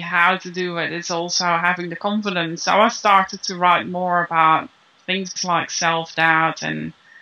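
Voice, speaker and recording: This woman talks at a fairly slow pace with a non-native accent and a medium pitch. Her tone is bright and sharp, and her intonation fairly even. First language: not English. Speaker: business founder, copywriting teacher. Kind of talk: interview. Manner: halting, with repeated words.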